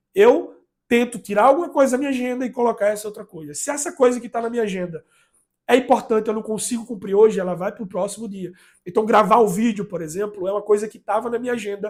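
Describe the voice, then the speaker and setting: A man talks at a very fast pace in a high voice. His loudness swings widely. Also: ordinary pitch variation. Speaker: YouTuber sharing productivity advice. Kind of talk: casual vlog monologue. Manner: halting, many repetitions and fillers.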